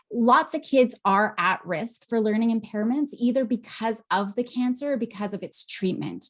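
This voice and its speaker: A woman speaks in a plain, everyday voice with a fairly high pitch and ordinary pitch variation. Her pace is moderate, and she hardly pauses. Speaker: psychologist. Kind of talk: webinar presentation.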